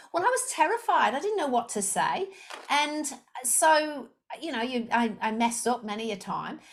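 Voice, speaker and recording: With a slight Liverpool accent, a woman speaks at a moderate pace in a high pitch that swings very widely. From England, Liverpool. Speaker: sales coach. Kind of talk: podcast interview.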